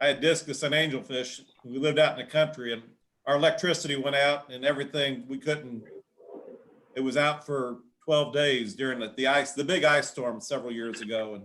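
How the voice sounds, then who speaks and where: Using an unremarkable speaking voice, a man talks at a fairly high pitch and fairly quick pace with fairly even intonation and big swings in loudness. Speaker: aquarium hobbyist. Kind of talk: casual chat.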